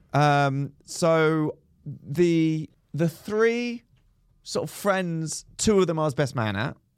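Speaking very slowly, a man uses a fairly high pitch and lively intonation. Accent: English. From England. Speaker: comedian and podcast co-host. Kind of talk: casual chat. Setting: recording at a comedy venue, outdoors nearby.

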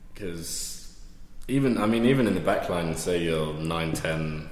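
A man's very deep, low voice in a London accent, with audible room echo and noticeable background noise. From west London, England. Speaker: amateur rugby club captain. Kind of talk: casual interview.

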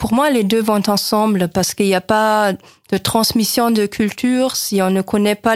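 A woman with an unremarkable speaking voice, medium pitch and fairly even intonation at a fairly slow pace, on a very clean recording with a silent background. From West Germany. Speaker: German teacher. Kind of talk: radio interview.

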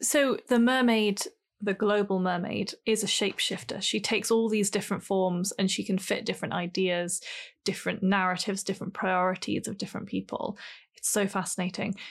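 An unremarkable speaking voice moves at a fairly quick pace with fairly even intonation against a quiet background. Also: woman, medium pitch for a woman. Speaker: podcast co-host. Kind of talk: casual chat.

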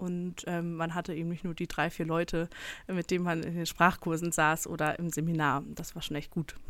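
On a very clean recording with a silent background, a woman speaks at a fairly low pitch. Her delivery is monotone and flat, at a moderate pace. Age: 20s. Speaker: church history researcher. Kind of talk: casual chat. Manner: hesitant, many fillers.

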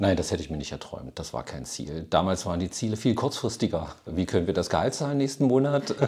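Very fast, with hardly any pauses, the voice has a dark, mellow tone, vocal fry and very wide pitch swings. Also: man, very deep, low pitch for a man. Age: 50s. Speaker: retired software company founder. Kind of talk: interview.

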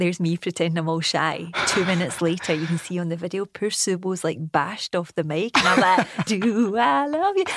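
With a Glasgow accent, a woman talks in a fairly low pitch with ordinary pitch variation and hardly any pauses. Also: fairly quick pace. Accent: Glasgow Scottish. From Scotland, Bishopbriggs near Glasgow. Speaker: TV entertainment reporter. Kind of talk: casual chat.

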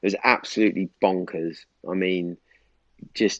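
A man's very deep, low-pitched voice. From Norwich, East Anglia, England. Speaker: podcaster and property developer. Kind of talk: casual chat.

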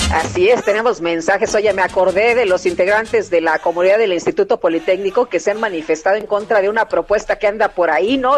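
Speaking very fast with hardly any pauses, a woman at a medium pitch shows ordinary pitch variation over noticeable background noise. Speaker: radio news co-host. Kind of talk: morning radio news show.

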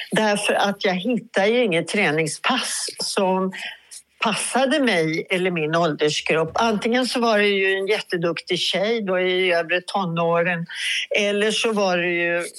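A woman speaks at a fairly slow pace with very even loudness. Noticeable background noise can be heard. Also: medium pitch for a woman, ordinary pitch variation. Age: 70s. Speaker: DJ. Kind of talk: interview.

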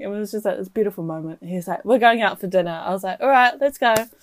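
Lively intonation from a woman in a New Zealand accent, on a very clean recording with a silent background. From New Zealand, Waikato. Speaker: podcast co-host. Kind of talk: casual chat.

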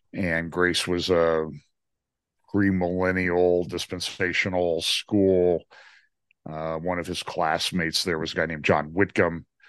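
A man's very deep, low voice, monotone and flat, at a fairly slow pace against a quiet background. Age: 60s. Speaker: trial attorney and prophecy teacher. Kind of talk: casual chat.

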